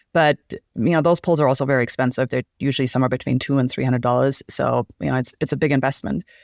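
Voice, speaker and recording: On a very clean recording with a silent background and a dry, close sound with no echo, a woman speaks very fast with hardly any pauses in a very deep, low pitch with vocal fry. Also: ordinary pitch variation, very even loudness. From Germany. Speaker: endurance athlete and guide. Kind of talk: interview.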